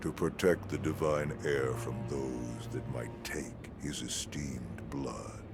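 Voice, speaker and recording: Loud background noise fills the clip. Over it, a man talks in a put-on character voice. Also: fairly slow pace. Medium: video game. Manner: sly, commanding.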